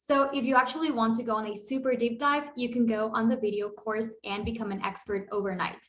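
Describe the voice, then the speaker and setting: At a fairly quick pace, a woman with a Spanish accent sounds animated, her fairly high pitch showing ordinary variation. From Costa Rica. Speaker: automation consultant. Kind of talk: tutorial.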